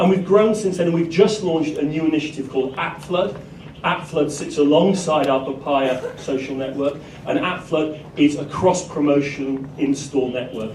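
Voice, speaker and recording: A man speaks at a moderate pace, his pitch fairly high with ordinary variation. There is audible room echo and noticeable background noise. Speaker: conference speaker. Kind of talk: conference presentation.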